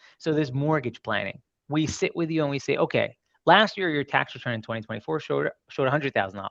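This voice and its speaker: A man with an American accent talks at a very fast pace with a fairly high pitch, lively intonation and vocal fry. The sound is dry and close, with no echo. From Brooklyn, New York. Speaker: mortgage loan officer. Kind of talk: presentation at a seminar.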